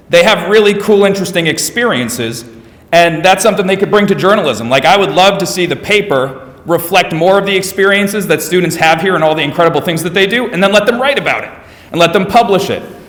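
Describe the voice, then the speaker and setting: Over noticeable background noise, a man talks at a very fast pace with a high pitch and ordinary pitch variation. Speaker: school administrator presenting English department. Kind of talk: presentation to parents.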